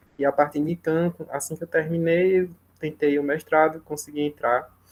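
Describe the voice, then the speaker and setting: Soft-spoken and monotone, a man talks with flat intonation at a fairly high pitch. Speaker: program alumnus, former master's student. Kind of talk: testimony at academic seminar round. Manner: slow.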